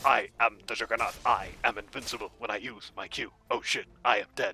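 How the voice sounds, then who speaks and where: A put-on character voice is heard with faint music in the background. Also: man, moderate pace. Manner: stupid, exaggerated.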